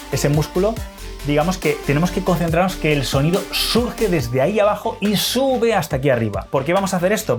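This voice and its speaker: With music in the background, a man speaks at a fairly quick pace with lively intonation. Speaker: dating and seduction coach. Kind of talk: instructional talk to camera.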